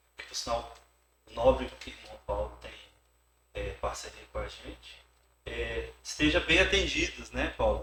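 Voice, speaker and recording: A man with a Goiás accent at a fairly slow pace. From Goiás, Brazil (born in Rio de Janeiro). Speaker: workplace safety specialist. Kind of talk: interview.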